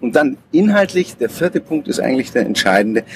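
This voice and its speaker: A man at a fairly quick pace with very wide pitch swings, dry and close with no echo, amid noticeable background noise. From Munich, Bavaria. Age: 40s. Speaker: personnel assessment consultant. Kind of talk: interview. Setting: outdoors on a public square.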